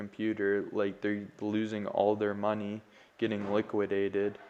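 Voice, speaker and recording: The background is quiet. A man speaks at a moderate pace with a fairly low pitch. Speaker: crypto trading streamer. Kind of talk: live chart analysis. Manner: monotone; casual with fillers.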